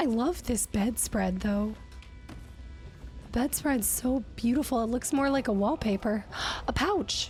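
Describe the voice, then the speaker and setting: With music in the background, the speech is fairly slow, very even in loudness and broken by long, frequent pauses. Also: woman. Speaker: gaming content creator. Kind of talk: let's play gaming commentary. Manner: enthusiastic, chatty.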